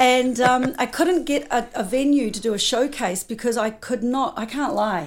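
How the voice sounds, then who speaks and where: With an American accent, a high-pitched woman speaks at a moderate pace over noticeable background noise. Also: lively intonation, hardly any pauses. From New Zealand. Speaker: music manager. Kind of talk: interview.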